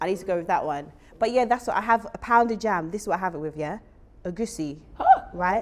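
Very fast and animated, a woman with medium pitch speaks with lively intonation. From UK, Jamaican heritage. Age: 30s. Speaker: talk show host. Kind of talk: casual interview. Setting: studio. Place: studio. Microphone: lapel.

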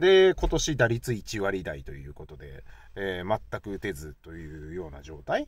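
Against a quiet background, a man with a very deep, low pitch talks in a relaxed tone at a fairly slow pace, the sound dry with no echo. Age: 40s. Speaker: YouTuber, baseball fan commentator; baseball fan vlogger. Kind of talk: casual solo talk; casual vlog commentary. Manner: relaxed, many fillers. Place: car.

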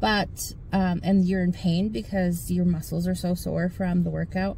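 A woman's somewhat breathy voice, fairly low in pitch, at a moderate pace with fairly even intonation, in dry sound with no echo and light background noise. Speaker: fitness vlogger. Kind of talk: casual vlog chat. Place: car. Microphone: phone near.

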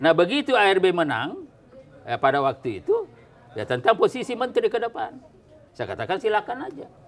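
Over crowd noise in the background, a man talks at a fairly quick pace. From South Sulawesi, Indonesia. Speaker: politician. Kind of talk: talk show interview. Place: office. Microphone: lapel.

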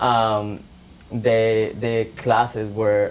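Over light background noise, a man with a Spanish accent speaks at a fairly low pitch in a monotone, flat intonation. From El Salvador. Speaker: college student; guest. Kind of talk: personal testimony. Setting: classroom with audience. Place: classroom. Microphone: camera far.

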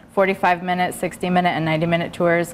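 Against light background noise, a woman speaks very fast in a fairly low voice. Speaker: guest. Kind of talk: interview answer. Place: studio. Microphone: lapel.

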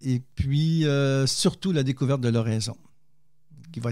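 In a very clean recording with a silent background, a man speaks fairly slowly at a medium pitch, his tone dark and mellow and his pitch variation ordinary. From Quebec. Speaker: theologian and poet, author. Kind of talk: interview testimony.

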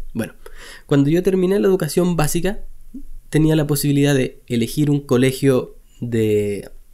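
A dark, mellow tone with lively intonation and a Chilean accent, at a moderate pace with long, frequent pauses, over a quiet background. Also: man, fairly high pitch for a man. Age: 30s. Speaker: web designer and online teacher; web design teacher. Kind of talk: personal storytelling vlog. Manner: casual, with frequent hesitations and repetitions. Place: home room. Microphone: studio mic.

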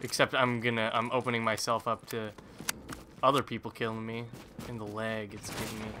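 The speaker sounds nervous and animated, talking at a fairly quick pace. Noticeable background noise runs underneath. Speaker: gaming YouTuber. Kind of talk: casual gameplay commentary. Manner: nervous, jumpy, animated.

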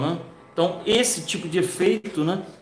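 Faint music plays in the background as a man talks at a fairly slow pace, with audible room echo around him. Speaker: art teacher. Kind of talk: tutorial. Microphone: webcam.

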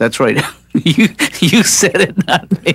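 In a cartoonish character voice, a man speaks slowly with fairly high pitch, a fairly bright tone, a slightly husky edge, vocal fry and big pitch swings.

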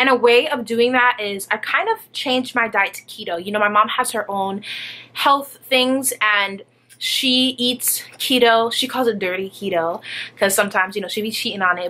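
This woman's tone is bright and sharp, with ordinary pitch variation. Her pace is moderate. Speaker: vlogger. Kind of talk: casual vlog chat. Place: home room. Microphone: phone near.

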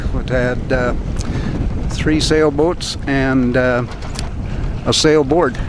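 A man speaks at a very slow pace with a dry sound and no echo. Noticeable background noise sits behind him. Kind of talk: casual vlog chat. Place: boat. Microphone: camera far.

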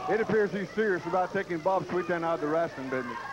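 A man talking at a very fast pace with ordinary pitch variation, over noticeable background noise. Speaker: wrestling color commentator. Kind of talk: wrestling commentary. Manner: enthusiastic, hyped.

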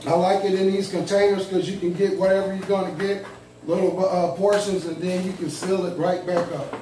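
A man's high-pitched voice at a fairly quick pace, flat and monotone, with audible room echo and light background noise. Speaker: food vlogger. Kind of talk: casual vlog chat. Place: home room. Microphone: camera far.

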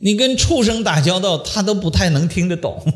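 Over a quiet background, a man talks at a fairly slow pace in an animated tone. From Shandong, China. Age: 50s. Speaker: lecturer on traditional Chinese metaphysics. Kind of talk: public lecture. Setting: lecture hall with live audience. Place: classroom. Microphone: podium.

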